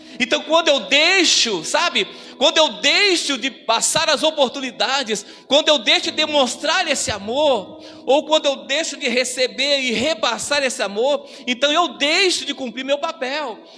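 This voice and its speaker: Noticeable background noise surrounds a raised, projected voice that has ordinary pitch variation and a fairly slow pace. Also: man, extremely high pitch for a man. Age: 60s. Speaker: pastor. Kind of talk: sermon.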